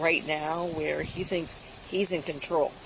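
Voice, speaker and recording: A woman's voice over noticeable background noise. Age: 70s. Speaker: grandmother calling police, retired nurse. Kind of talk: police encounter conversation. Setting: outdoors by a car, police bodycam.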